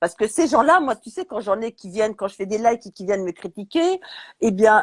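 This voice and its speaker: A woman's fairly high pitch with very wide pitch swings and big swings in loudness, in a dry, close sound with no echo on a very clean recording with a silent background. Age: 60s. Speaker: chef. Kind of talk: casual chat. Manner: animated.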